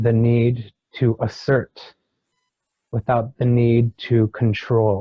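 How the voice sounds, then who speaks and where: A man at medium pitch, somewhat breathy and monotone, with flat intonation, a very slow pace and long, frequent pauses, in a dry, close sound with no echo. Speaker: hypnosis regression client. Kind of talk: hypnosis regression session, channeled spiritual teaching. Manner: slow, measured, pausing, channeling a wise being.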